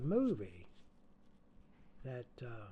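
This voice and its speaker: A man speaks in a somewhat breathy voice. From US South. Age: 80s+. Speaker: songwriter and musician. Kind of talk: interview. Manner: halting.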